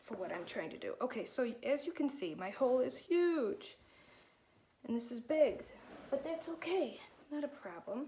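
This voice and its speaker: High-pitched woman's speech at a moderate pace, very wide pitch swings and long, frequent pauses. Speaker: alpaca farmer and weaving demonstrator. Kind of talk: tutorial.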